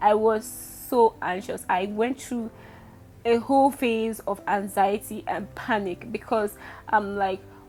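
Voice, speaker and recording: Fairly high in pitch, a woman talks at a very slow pace. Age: 20s. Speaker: vlogger. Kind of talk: casual vlog talk. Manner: speaking louder.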